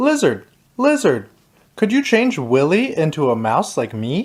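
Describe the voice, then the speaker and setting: Putting on a character voice, a man speaks at a high pitch with very wide pitch swings and a moderate pace. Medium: read story. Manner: timid, earnest.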